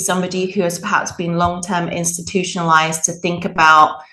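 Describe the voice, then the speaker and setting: A woman with an English accent and a fairly low pitch speaks against noticeable background noise. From England. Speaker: mental health executive director, occupational therapist. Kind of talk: interview conversation.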